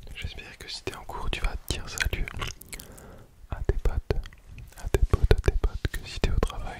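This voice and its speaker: A whispered voice with long, frequent pauses. Noticeable noise sits in the background. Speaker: ASMR creator. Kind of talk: ASMR rambling talk to viewer. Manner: whispered, very slow.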